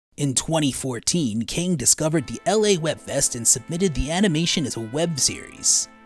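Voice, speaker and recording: Speech comes at a moderate pace. Music plays in the background. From United States. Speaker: voice actor. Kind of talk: documentary narration.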